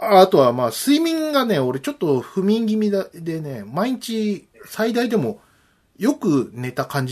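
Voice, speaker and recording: A man with a high pitch speaks with big swings in loudness and very wide pitch swings. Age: 40s. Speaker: podcast host. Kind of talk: casual chat.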